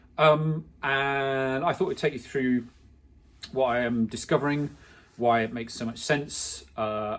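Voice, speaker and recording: He speaks with an English accent. His pitch is medium, with ordinary variation. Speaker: clothing brand founder. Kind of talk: personal vlog monologue. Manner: fast; halting, many fillers.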